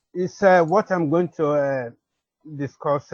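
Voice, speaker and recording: Somewhat breathy and fairly high in pitch, a man speaks with ordinary pitch variation in a dry, close sound with no echo against a quiet background. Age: 70s. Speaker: retired accounting lecturer and landlord. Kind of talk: seminar presentation. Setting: online seminar. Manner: halting.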